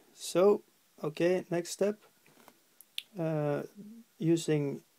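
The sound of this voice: Speaking at a very slow pace in a Norwegian accent, the voice has a dark, mellow tone with vocal fry.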